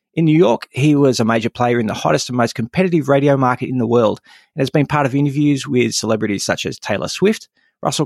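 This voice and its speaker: A man with an Australian accent talks at a very fast pace, at medium pitch with ordinary variation, in a very clean recording with a silent background and a dry, close sound with no echo. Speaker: podcast host. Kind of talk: scripted intro narration; interview conversation.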